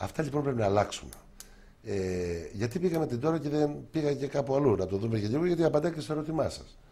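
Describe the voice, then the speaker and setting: With lively intonation, the somewhat breathy voice talks at a fairly quick pace. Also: man, fairly high pitch for a man. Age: 60s. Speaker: politician. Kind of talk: TV interview.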